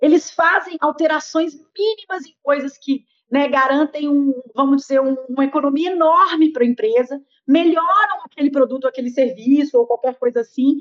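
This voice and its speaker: A high-pitched woman at a moderate pace, ordinary pitch variation, in a dry, close sound with no echo. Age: 40s. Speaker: business and innovation consultant. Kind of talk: interview.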